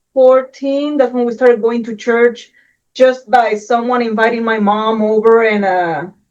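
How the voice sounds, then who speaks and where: A woman with a Puerto Rican accent speaks at a moderate pace. Her voice is fairly high. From Puerto Rico. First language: Spanish. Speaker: Air Force veteran, housewife. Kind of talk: interview testimony.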